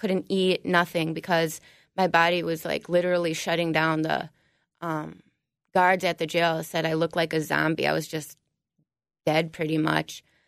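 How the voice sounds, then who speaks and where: A woman with an Upper Midwest accent, fairly low-pitched and monotone, on a very clean recording with a silent background. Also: moderate pace. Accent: Upper Midwest (Minnesota). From Minnesota, New Prague. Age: 20s. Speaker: recovering addict. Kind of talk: testimony. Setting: studio.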